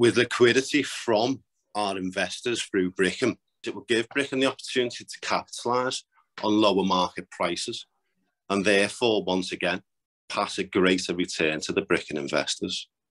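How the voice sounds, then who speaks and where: In a northwest England accent, a man speaks at a fairly low pitch over a quiet background. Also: ordinary pitch variation, moderate pace, dry, close sound with no echo. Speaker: property developer. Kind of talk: interview.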